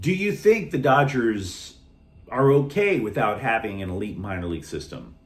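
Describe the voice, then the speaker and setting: At a moderate pace, a man's somewhat breathy, medium-pitched voice shows very wide pitch swings and big swings in loudness. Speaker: sports channel host. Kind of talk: sports commentary monologue.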